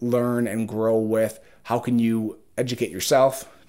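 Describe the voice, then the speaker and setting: Monotone, flat intonation with an Upper Midwest accent. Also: man. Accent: Upper Midwest American. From Minnesota, Twin Cities suburbs. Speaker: podcast host. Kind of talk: solo monologue, reflective and faith-based. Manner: hesitant, many fillers.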